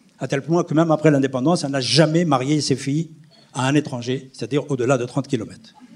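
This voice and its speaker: With fairly even intonation and a fairly high pitch, a man speaks at a fairly quick pace as noticeable background noise carries on. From Algeria, near Algiers. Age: 70s. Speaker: historian. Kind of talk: testimony. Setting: stage with audience.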